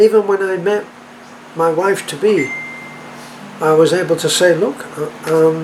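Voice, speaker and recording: Over noticeable background noise, a man with an American accent speaks at a very slow pace. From England. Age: 80s+. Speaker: expat vlogger. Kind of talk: casual vlog talk. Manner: halting, with repetitions and fillers.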